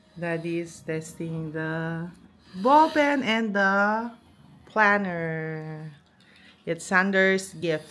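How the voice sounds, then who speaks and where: A woman with a fairly low voice talks very slowly. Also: ordinary pitch variation. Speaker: family vlogger. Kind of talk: casual vlog chat. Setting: in a car; at home. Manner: slightly slurred speech from dental brace.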